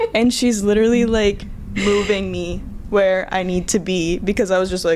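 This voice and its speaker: Medium-pitched and moderately paced, a woman's an ordinary speaking voice. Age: 20s. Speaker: ballet dancer. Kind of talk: casual chat.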